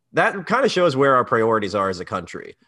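A man with an unremarkable speaking voice in an American accent, medium pitch, lively intonation and a fairly quick pace against a quiet background. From US, Maryland. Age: 20s. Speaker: comedian. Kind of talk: casual chat.

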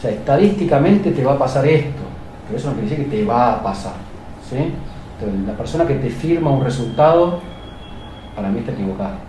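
Noticeable background noise and audible room echo surround a man's fairly high voice. He talks very fast with lively intonation, yet leaves long, frequent pauses. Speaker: plastic surgeon. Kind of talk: interview testimony.

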